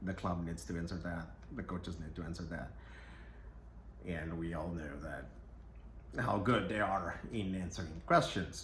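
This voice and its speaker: A man's very deep, low voice with vocal fry and lively intonation, plus audible room echo. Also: fairly slow pace. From Brazil. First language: Portuguese. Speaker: football podcaster. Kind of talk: casual commentary monologue.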